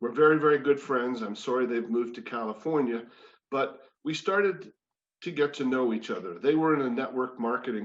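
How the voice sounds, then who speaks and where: A man with a normal speaking voice talks at a fairly quick pace, his medium pitch showing ordinary variation. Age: 60s. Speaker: former sportscaster and wellness speaker. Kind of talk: personal testimony talk. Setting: spiritual community service.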